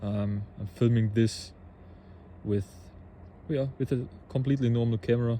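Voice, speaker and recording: A man speaks fairly slowly in a fairly low, somewhat breathy voice with a non-native accent. His tone is dark and mellow, and his intonation stays fairly even. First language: not English. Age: 20s. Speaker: angler and video creator. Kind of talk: casual outdoor vlog. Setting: outdoors by a river. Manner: halting, with repeated words.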